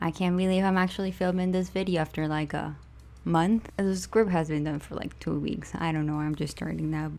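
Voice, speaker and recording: A woman is talking. Her pace is very fast. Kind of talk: fan commentary rant over speedpaint.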